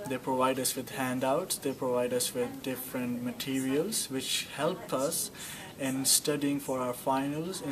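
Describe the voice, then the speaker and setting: A man with a Pakistani accent at a fairly slow pace, over noticeable background noise. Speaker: international student. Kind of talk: testimonial interview. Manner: hesitant, filler words. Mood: positive, relaxed.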